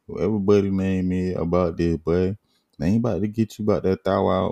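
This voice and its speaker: A man with a very deep, low pitch and a dark, mellow tone speaks at a fairly quick pace in a dry, close sound with no echo. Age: 20s. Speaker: podcast host. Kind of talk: casual chat. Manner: animated; laid-back.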